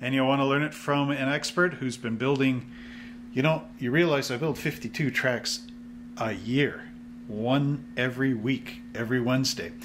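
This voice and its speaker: Light noise runs behind a man whose pitch varies in an ordinary way. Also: moderate pace. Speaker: hobby shop channel host. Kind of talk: casual vlog chat. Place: shop.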